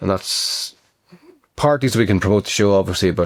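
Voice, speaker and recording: Dry, close sound with no echo and an Irish accent. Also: man. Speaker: actor and writer. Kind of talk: casual talk to camera.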